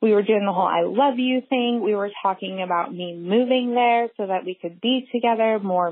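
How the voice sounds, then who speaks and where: A woman's plain, everyday voice, fairly high in pitch, at a moderate pace with ordinary pitch variation. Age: 30s. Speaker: caller. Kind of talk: voicemail story. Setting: phone voicemail.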